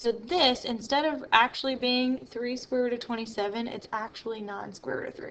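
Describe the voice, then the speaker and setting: A woman speaks at a high pitch and a moderate pace. Her intonation stays fairly even. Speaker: math teacher. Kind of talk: tutorial.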